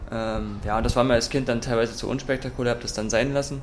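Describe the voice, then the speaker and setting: A man's very fast, flat monotone at medium pitch, with noticeable background noise and audible room echo. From Saxony, eastern Germany (Freiberg). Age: 20s. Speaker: mixed martial arts athlete. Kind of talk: interview. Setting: in a martial arts gym.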